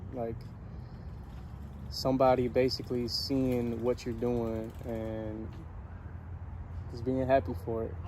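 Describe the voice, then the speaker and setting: A man with a medium pitch and fairly even intonation speaks very slowly, with long, frequent pauses and audible room echo. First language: not English. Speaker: motivational vlogger. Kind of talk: casual motivational monologue. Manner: hesitant, many fillers.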